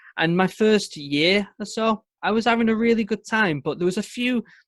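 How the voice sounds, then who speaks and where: A man speaks with a northern English accent, his voice dry and close with no echo. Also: quiet background. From northern England, Manchester. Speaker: former Royal Marine commando. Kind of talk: podcast interview.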